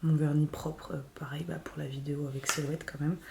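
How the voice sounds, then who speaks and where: Over noticeable background noise, a woman speaks with a very deep, low voice. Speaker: vlogger and small business owner. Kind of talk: casual vlog talk. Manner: hesitant, many fillers.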